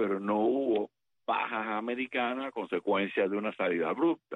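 A man talks in a normal speaking voice at a medium pitch. His pace is moderate, with ordinary pitch variation. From Cuba. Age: 60s. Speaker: retired US Army colonel, military analyst. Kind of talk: interview.

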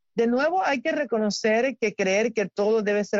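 A woman's unremarkable speaking voice at a fairly slow pace, with ordinary pitch variation. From Cuba. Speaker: doctor, health segment presenter. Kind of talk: health advice talk.

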